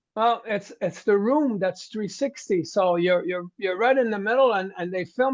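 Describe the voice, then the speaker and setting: Here a man speaks at a moderate pace. His pitch is high, with ordinary variation. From Quebec, Montreal (French-speaking). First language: French. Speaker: heavy metal singer. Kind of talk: interview.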